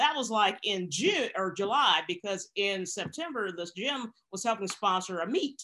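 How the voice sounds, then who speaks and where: A woman talks with a bright, sharp tone, fairly high pitch, and lively intonation. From US South (Arkansas). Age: 50s. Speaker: police officer and powerlifter. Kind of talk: casual interview. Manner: halting, repetitive fillers.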